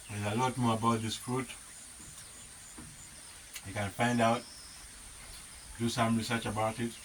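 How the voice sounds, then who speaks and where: Over noticeable background noise, the speaker keeps a monotone, flat intonation at a moderate pace, with long, frequent pauses. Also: man, medium pitch for a man. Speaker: homesteader. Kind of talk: ASMR food talk to camera.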